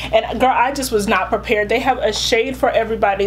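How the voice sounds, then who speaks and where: A woman speaks over noticeable background noise. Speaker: beauty vlogger. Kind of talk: product review vlog. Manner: animated.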